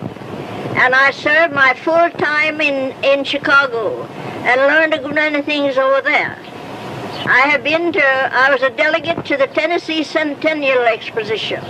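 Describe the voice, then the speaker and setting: In a Southern US accent, a woman with a high pitch uses a raised, projected voice at a moderate pace. Her intonation is fairly even, with noticeable background noise. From Georgia, USA. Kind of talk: casual address to visitors. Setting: old archival recording.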